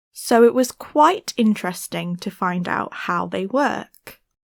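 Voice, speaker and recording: A woman with a British accent speaks at a fairly slow pace, her medium pitch carried by lively intonation. The recording is very clean, with a silent background and a dry, close sound with no echo. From Britain. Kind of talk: language-learning reading passage.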